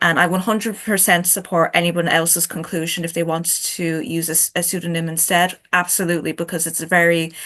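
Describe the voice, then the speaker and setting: A woman with an Irish accent, fairly low pitch, bright, sharp tone, monotone, flat intonation and fairly quick pace. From Ireland. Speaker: chapter author on a book panel. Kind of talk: panel discussion.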